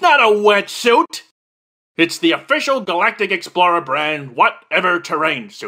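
In a cartoonish character voice, a man speaks high for a man at a moderate pace, raised and projected, with very wide pitch swings. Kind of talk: military drill-sergeant parody. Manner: gruff, barking, pompous.

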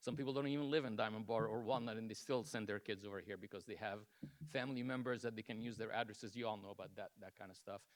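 At a very fast pace, a man speaks with fairly even intonation. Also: medium pitch for a man. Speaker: resident giving public comment. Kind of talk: public comment at council meeting. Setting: city council meeting, public podium. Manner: loud; hesitant, many fillers.

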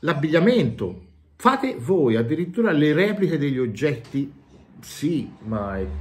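Speaking at a fairly slow pace, a man shows vocal fry and very wide pitch swings. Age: 40s. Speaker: YouTuber and tabletop game master; YouTuber. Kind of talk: game review monologue. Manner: animated. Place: home room. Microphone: phone near.

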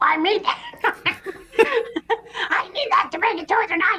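Using a put-on character voice, a woman speaks at an extremely high pitch. Her pace is moderate.

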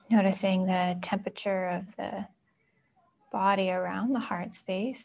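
The woman's voice sits at a medium pitch and is somewhat breathy. Her intonation is monotone and flat. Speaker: yoga and meditation teacher; meditation teacher. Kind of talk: guided meditation. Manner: slow, calm. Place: home room.

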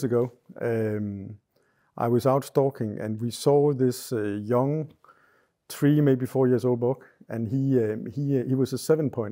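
Against a quiet background, a man with a Danish accent speaks very slowly at a medium pitch, his dark, mellow tone showing ordinary pitch variation. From Denmark. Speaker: hunter. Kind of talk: casual chat. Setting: hunting cabin. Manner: halting. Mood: relaxed, calm storytelling. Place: home room.

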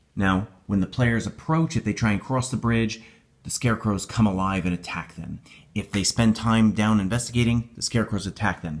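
In a very clean recording with a silent background, a man with an American accent uses an ordinary speaking voice, fairly low in pitch, at a moderate pace with ordinary pitch variation. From upstate New York. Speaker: YouTuber and tabletop game master. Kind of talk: tutorial. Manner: casual.

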